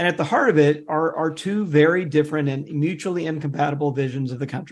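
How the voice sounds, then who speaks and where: Over a quiet background, a man speaks with an American accent. His pitch is fairly high, with ordinary pitch variation. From US South, Mississippi (Jackson). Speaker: author and religion researcher. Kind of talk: interview. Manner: hesitant, many fillers.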